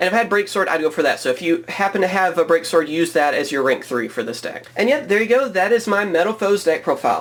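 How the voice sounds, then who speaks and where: The voice runs at a very fast pace with hardly any pauses. Noticeable background noise sits behind it. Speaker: card game YouTuber. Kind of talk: deck profile tutorial.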